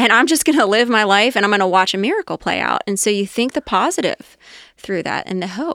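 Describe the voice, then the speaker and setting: In a plain, everyday voice, a woman with an American accent speaks at a fairly quick pace and fairly high pitch, with lively intonation. The recording is very clean, the background silent, and the sound dry and close with no echo. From Ohio, Cincinnati area. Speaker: restaurant company executive. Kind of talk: interview conversation.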